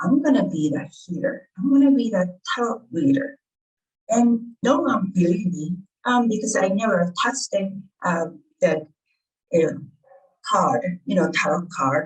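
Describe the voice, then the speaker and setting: A somewhat breathy woman with a Japanese accent speaks at medium pitch and a fairly slow pace. Her pitch swings very widely, broken by long, frequent pauses. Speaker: author and healer. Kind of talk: interview. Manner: halting.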